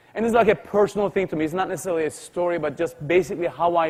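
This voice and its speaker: A man's energetic, high-pitched voice in a Turkish accent, with ordinary pitch variation. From Turkey, Istanbul. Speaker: tech company CEO, speaker. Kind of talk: motivational keynote speech.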